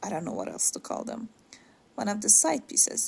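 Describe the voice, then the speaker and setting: On a very clean recording with a silent background, a woman speaks in a somewhat breathy voice. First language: not English (third language). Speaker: DIY home decor creator. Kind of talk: tutorial voice-over narration. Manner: casual, somewhat halting with fillers.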